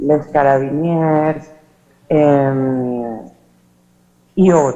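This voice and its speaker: A woman speaks in a dark, mellow tone. Room echo is audible around her voice. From Venezuela. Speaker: academic conference speaker. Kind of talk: conference presentation. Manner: hesitant, many filler sounds.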